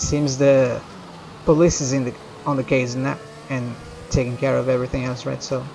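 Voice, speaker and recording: A man with a Brazilian accent speaks at medium pitch and a moderate pace, with ordinary pitch variation and long, frequent pauses, against noticeable background noise. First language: Portuguese. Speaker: video game streamer. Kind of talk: live gameplay commentary, casual chat.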